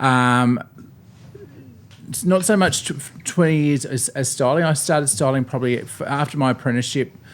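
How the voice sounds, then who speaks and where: Long, frequent pauses break up a man's speech in an Australian accent. He talks at a moderate pace with a fairly high pitch and ordinary pitch variation. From Tasmania, Australia. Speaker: bridal hairstylist. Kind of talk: casual chat.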